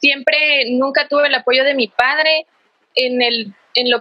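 Speaking at a fairly slow pace, the woman has a high-pitched voice. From Guatemala, Quetzaltenango. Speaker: workshop participant. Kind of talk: testimony. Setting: video call. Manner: halting.

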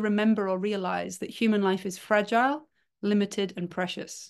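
A woman's medium-pitched voice at a moderate pace with ordinary pitch variation against a quiet background. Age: 40s. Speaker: human design teacher. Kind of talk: casual chat.

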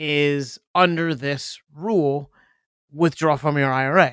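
A man with a fairly high pitch speaks in an unremarkable speaking voice, recorded very cleanly against a silent background. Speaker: podcast co-host. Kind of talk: casual banter, finance talk. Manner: laughs often, joking.

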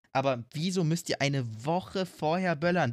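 A man talks with lively intonation in a somewhat breathy voice. The recording is very clean, with a silent background. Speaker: podcast co-host. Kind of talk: casual chat.

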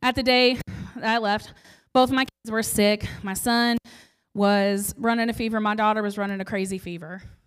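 A woman with an American accent speaks at a fairly high pitch. Her intonation is fairly even, with music in the background. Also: moderate pace. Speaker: preacher. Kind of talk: sermon.

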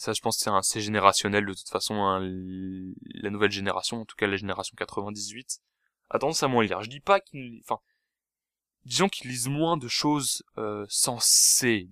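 A man speaks at a moderate pace with a fairly low pitch, ordinary pitch variation and a bright, sharp tone, his loudness swinging widely. The sound is dry and close with no echo, on a very clean recording with a silent background. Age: 20s. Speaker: podcast host. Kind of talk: solo monologue. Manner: hesitant, many fillers; casual.

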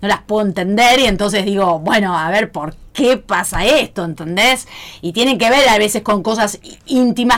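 Amid noticeable background noise, a woman talks at a moderate pace and a medium pitch. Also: ordinary pitch variation. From Pergamino, Buenos Aires province, Argentina. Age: 40s. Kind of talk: casual chat.

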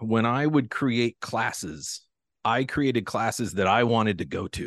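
A plain, everyday voice with an American accent speaks at a fairly slow pace, with ordinary pitch variation over a quiet background. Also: man. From US Pacific Northwest. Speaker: watch company founder. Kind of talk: interview conversation. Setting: home podcast studio. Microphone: crisp studio sound.

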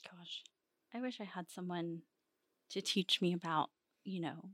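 Heard in a dry, close sound with no echo, a woman with a fairly low pitch talks at a moderate pace with ordinary pitch variation. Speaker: podcast co-host. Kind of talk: interview, conversational.

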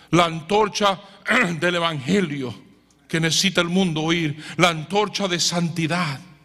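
A man's high-pitched voice at a fairly slow pace, fairly even in intonation, with audible room echo and noticeable background noise. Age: 60s. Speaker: preacher. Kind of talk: sermon. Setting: church.

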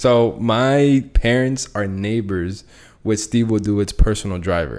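In a very clean recording with a silent background, a man uses a normal speaking voice with a fairly low pitch and ordinary pitch variation. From US, Latin family. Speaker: forex trader and podcast host. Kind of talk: casual chat.

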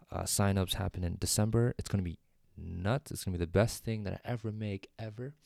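A fairly low-pitched man with fairly even intonation, in a dry, close sound with no echo. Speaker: solo podcaster. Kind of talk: casual monologue. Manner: unscripted, with many fillers; normal speaking voice, not ASMR.

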